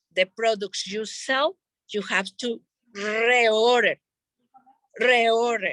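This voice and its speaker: Speaking very slowly in a non-native accent, a woman with a fairly high pitch and a bright, sharp tone keeps her intonation fairly even, captured with a dry, close sound and no echo. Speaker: network marketing leader. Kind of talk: sales training talk.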